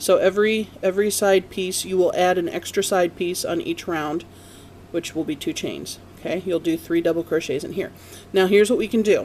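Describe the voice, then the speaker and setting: A woman with an ordinary speaking voice at medium pitch, fairly quick in pace, with fairly even intonation. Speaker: crochet instructor. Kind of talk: tutorial. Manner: casual.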